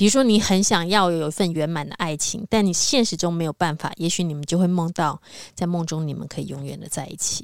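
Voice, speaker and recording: An ordinary speaking voice goes at a fairly quick pace with ordinary pitch variation and big swings in loudness, in a very clean recording with a silent background. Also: woman, fairly low pitch for a woman. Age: 50s. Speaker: spiritual podcast co-host. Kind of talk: casual spiritual conversation.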